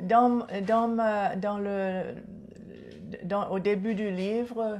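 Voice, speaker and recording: The woman's intonation is monotone and flat. She speaks at a very slow pace with long, frequent pauses. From Seychelles. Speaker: author and culture advocate. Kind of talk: TV interview.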